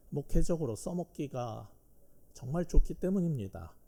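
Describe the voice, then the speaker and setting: A man speaks at a fairly slow pace in a dark, mellow tone. His pitch swings very widely. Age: 60s. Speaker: pastor and professor. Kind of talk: sermon. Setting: church. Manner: hesitant, many fillers.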